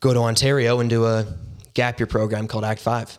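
Recorded very cleanly against a silent background, a man with a western Canadian accent talks at a fairly quick pace. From Canada, Surrey, British Columbia. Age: young (19). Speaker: ministry intern. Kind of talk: testimony.

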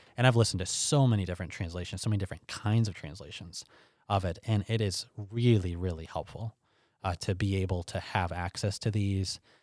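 Fairly quick in pace, a man talks in a plain, everyday voice, fairly low in pitch with ordinary pitch variation, on a very clean recording with a silent background. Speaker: pastor and Bible teacher. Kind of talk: interview conversation.

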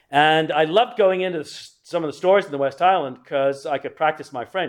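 A man with an English accent, fairly high in pitch, at a fairly quick pace. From England. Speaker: church history teacher. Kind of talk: lecture. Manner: halting.

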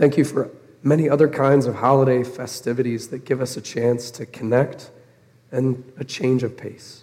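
A man speaks at a moderate pace with a dark, mellow tone. His intonation stays monotone and flat. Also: medium pitch for a man. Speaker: pastor. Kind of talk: sermon. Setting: church.

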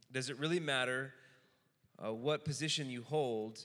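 The man's bright, sharp voice sits at a medium pitch, with fairly even intonation and a moderate pace. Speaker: Q&A moderator. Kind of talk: Q&A. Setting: stage with audience.

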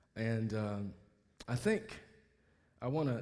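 Somewhat breathy and with lively intonation, the speaker talks with an American accent amid audible room echo. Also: man. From US South, Mobile, Alabama. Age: 60s. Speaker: pastor. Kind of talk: sermon. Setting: church.

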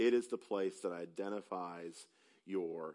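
The speaker has a Southern US accent. The pace is very slow and the intonation fairly even. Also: man. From upstate South Carolina. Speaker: preacher. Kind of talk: sermon. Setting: church.

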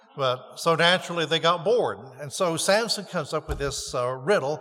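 A man talks at a moderate pace with lively intonation. His fairly high voice has a bright, sharp tone. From North Carolina. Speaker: pastor. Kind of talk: sermon. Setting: church.

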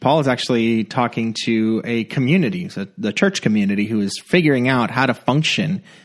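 Over a quiet background, a man with an unremarkable speaking voice talks at a fairly quick pace in a medium pitch, his intonation lively. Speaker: pastor. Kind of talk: casual chat.

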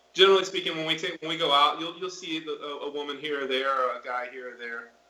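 With an American accent, this man speaks at a fairly high pitch. Noticeable background noise sits behind him. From Florida. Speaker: missionary. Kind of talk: interview. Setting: video call.

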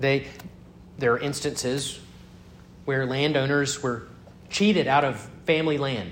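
Amid audible room echo, a man with a fairly high pitch and ordinary pitch variation talks at a fairly slow pace with long, frequent pauses. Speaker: pastor. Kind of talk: sermon.

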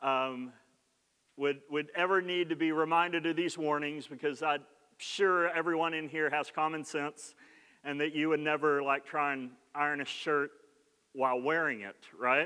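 A fairly high male voice with an Oklahoma accent, fairly even intonation, a moderate pace and long, frequent pauses. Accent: Oklahoman Southern US. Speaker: pastor. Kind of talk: sermon. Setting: church. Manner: conversational, humorous.

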